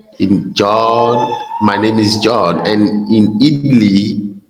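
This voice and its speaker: Audible room echo surrounds the recording. A man with a fairly low pitch speaks at a very slow pace. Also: long, frequent pauses, very even loudness. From Benin. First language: French. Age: 30s. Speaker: geography teacher. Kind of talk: casual chat. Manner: halting.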